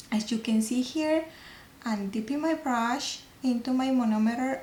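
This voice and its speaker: With a non-native accent, a woman speaks in a high pitch at a fairly slow pace, showing ordinary pitch variation. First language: not English. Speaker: nail technician. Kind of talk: tutorial. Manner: halting.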